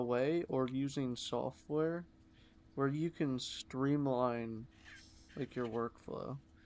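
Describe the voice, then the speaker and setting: Very slow speech with ordinary pitch variation against a quiet background. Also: man. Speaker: podcast co-host. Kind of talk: casual chat.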